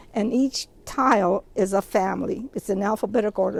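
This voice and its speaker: Noticeable background noise accompanies a woman talking with ordinary pitch variation. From US Pacific Northwest, Bainbridge Island, Washington. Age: 80s+. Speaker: Japanese American internment survivor. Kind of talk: oral history talk. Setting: outdoors at a memorial site. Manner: conversational, some hesitations.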